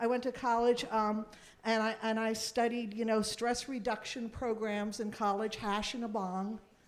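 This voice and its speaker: Monotone, flat intonation at a moderate pace, with audible room echo. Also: woman, fairly high pitch for a woman. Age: 60s. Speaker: actress and singer. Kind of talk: live podcast chat with audience. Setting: stage with audience. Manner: halting.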